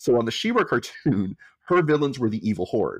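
This man has an ordinary speaking voice with medium pitch. He moves at a fairly quick pace with lively intonation. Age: 50s. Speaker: pop culture writer. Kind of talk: casual chat.

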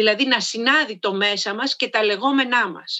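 A woman with an unremarkable speaking voice talks at a moderate pace and a fairly high pitch. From Greece, Karditsa. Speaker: voice and public speaking coach, soprano. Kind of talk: interview.

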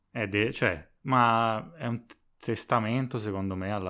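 This man's tone is bright and sharp, with ordinary pitch variation. The recording is very clean, over a silent background. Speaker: podcast editor and co-host. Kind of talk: casual chat.

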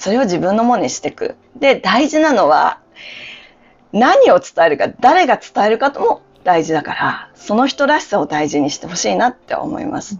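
At a moderate pace, a woman with a fairly high pitch uses very wide pitch swings and vocal fry. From Japan, Hokkaido. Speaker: yoga instructor and life coach. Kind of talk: casual interview. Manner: clear, announcer-like delivery.

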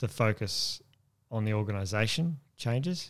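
This man has an Australian accent. Behind him is total silence, and the recording is very clean. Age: 40s. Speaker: army veteran. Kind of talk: interview.

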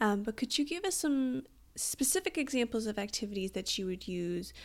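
Here is a woman with an ordinary speaking voice. She speaks at a moderate pace with lively intonation. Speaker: podcast host. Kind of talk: interview.

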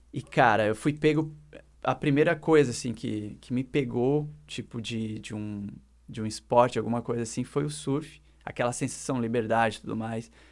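Lively intonation runs through a man's unremarkable speaking voice, pitched in the medium range. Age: 30s. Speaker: designer and musician. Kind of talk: casual chat.

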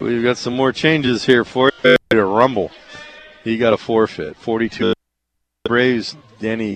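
A plain, everyday voice from a man, medium in pitch, at a fairly slow pace. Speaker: radio play-by-play announcer. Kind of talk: live sports commentary, play-by-play of wrestling matches. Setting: radio broadcast from mat side of a wrestling meet.

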